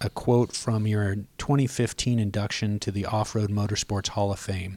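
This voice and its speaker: Delivered at a moderate pace, this is an unremarkable speaking voice belonging to a man. The intonation stays fairly even, and the pitch sits fairly low. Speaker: podcast host. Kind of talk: casual interview chat. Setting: in a home kitchen.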